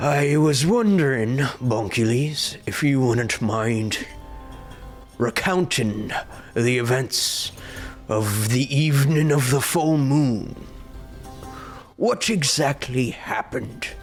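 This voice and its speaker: A man puts on a character voice at a medium pitch, speaking at a very slow pace. Clear music plays in the background. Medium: actual play. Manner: formal, archaic phrasing.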